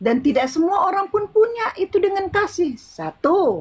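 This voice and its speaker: A woman speaks at a fairly slow pace in an extremely high pitch. Her voice makes very wide pitch swings. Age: 60s. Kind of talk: interfaith discussion. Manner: halting.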